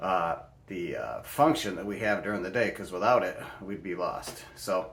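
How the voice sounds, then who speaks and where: A man talks at a fairly low pitch. Room echo is audible. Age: 60s. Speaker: health and wellness vlogger. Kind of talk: casual explainer vlog. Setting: bedroom at home. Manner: casual with many fillers and restarts.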